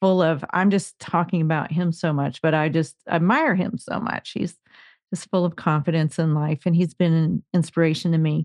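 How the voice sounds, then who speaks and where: An unremarkable speaking voice at a moderate pace, fairly even in intonation, dry and close with no echo against a quiet background. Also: woman, fairly low pitch for a woman. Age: 50s. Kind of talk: casual interview conversation.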